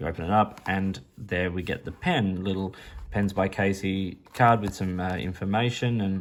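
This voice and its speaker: With an Australian accent, a man speaks at a moderate pace in a fairly low pitch. The recording is very clean, with a silent background. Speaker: pen reviewer. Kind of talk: product review. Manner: casual, hesitant with fillers.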